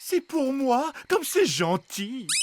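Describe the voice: In a cartoonish character voice, a man speaks slowly at an extremely high pitch with big pitch swings.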